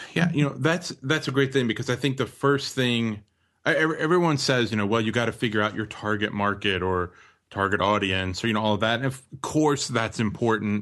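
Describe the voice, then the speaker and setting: Against a quiet background, a man talks at a fairly quick pace in a fairly low voice with ordinary pitch variation, an unremarkable speaking voice. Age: 30s. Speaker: business guest speaker. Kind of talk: interview conversation.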